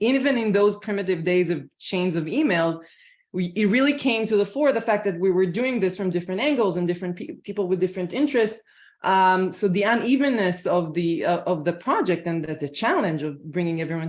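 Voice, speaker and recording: The speaker has an Israeli accent and a fairly quick pace. The background is quiet. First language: Hebrew. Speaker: scholar, translator on panel. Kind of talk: panel presentation at academic colloquium. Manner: halting, many fillers and repetitions.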